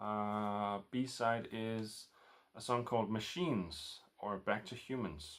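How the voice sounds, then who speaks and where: With a Danish accent, a man talks using lively intonation. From Denmark. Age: 40s. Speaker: record collector vlogger. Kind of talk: casual vlog. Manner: halting, many fillers.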